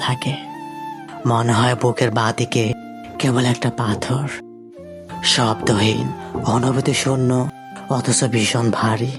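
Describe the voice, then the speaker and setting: Over background music, a man talks at a medium pitch in a monotone, flat intonation with very even loudness. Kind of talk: emotional sad love story narration. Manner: sad, emotional.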